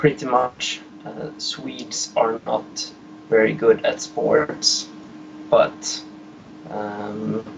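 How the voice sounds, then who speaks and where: Amid noticeable background noise, a man talks at a very slow pace with long, frequent pauses and big swings in loudness. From Sweden. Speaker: caller. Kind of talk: call-in chat. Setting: phone call. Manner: halting.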